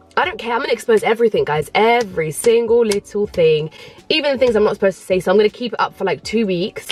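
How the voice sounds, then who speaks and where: Someone with a London accent talks very fast with lively intonation over noticeable background noise. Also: woman. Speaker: YouTuber. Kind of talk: vlog storytime. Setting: parked in a car. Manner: fast, chatty.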